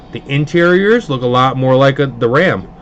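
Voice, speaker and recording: A man at medium pitch speaks at a moderate pace with ordinary pitch variation as noticeable noise sounds in the background. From Hudson Valley, upstate New York (Pleasant Valley near Poughkeepsie). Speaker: card box breaker, livestream host. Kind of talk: casual livestream chat. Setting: live stream broadcast.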